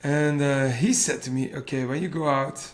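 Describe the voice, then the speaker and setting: A man with a Flemish accent at a medium pitch and a fairly slow pace, amid noticeable background noise. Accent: Flemish Belgian. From Flanders, Belgium. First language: Dutch (Flemish). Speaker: cardiac arrest survivor and PhD researcher. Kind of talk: personal testimony in interview. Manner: halting, searching for English words.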